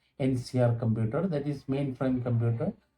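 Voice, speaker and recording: A man speaks at medium pitch and a fairly slow pace. His intonation is monotone and flat, and his voice is somewhat breathy. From Kerala, India. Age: 70s. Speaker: retired accountant. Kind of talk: interview answers. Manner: halting, many fillers.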